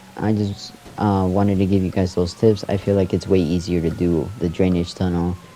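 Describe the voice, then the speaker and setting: A man's very deep, low voice at a moderate pace, monotone and flat in intonation, with very even loudness and noticeable background noise. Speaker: gaming youtuber. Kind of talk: gameplay tutorial. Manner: casual, hesitant.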